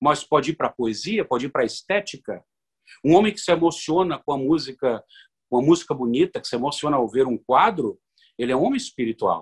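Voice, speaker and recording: A man with an ordinary speaking voice, fairly high in pitch, talks with lively intonation in a dry, close sound with no echo. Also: fairly quick pace. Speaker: lawyer and university professor. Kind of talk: radio interview.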